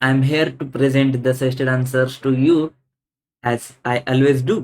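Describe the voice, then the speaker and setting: A man with an Indian accent, his intonation fairly even. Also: medium pitch for a man, moderate pace. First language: Hindi. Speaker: CA exam audit teacher. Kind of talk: exam answer walkthrough lecture. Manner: halting, frequent fillers.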